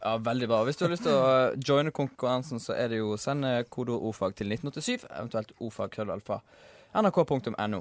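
Speaking at a very fast pace with ordinary pitch variation, this voice has a dry, close sound with no echo and comes from a very clean recording with a silent background. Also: man, medium pitch for a man. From Bergen, Norway. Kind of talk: radio show banter.

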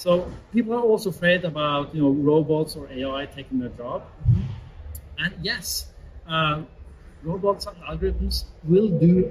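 A man speaks with a Norwegian accent at a moderate pace, his loudness swinging widely. Light background noise sits behind him. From Norway. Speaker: AI consultancy CEO; interview guest. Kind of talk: interview. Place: studio. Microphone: camera far.

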